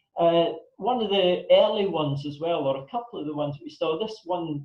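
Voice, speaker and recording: Speaking in a northern Scottish accent, a man with a high voice keeps a moderate pace and fairly even intonation. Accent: Scottish (north). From northern Scotland (Elgin area). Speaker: pandemic planning consultant, guest speaker. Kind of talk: talk to a club audience.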